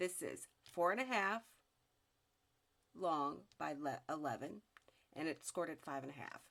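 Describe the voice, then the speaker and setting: A woman with very deep, low pitch, lively intonation and big swings in loudness, at a moderate pace with long, frequent pauses. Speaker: crafter. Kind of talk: tutorial. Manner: halting.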